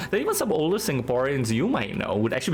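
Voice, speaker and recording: Against noticeable background noise, a man speaks at a very fast pace. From Singapore. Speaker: game streamer. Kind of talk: casual chat, storytelling on stream. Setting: live stream. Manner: casual, many fillers.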